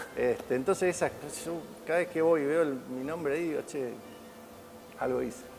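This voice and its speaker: Against noticeable background noise, a man with a fairly high pitch talks at a fairly quick pace but leaves long, frequent pauses. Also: ordinary pitch variation. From Argentina, Santa Fe city. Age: 60s. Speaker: retired Olympic swimmer. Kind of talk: interview. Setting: sports museum. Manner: halting, with many repetitions.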